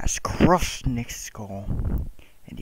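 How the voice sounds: The clip presents a natural reading voice.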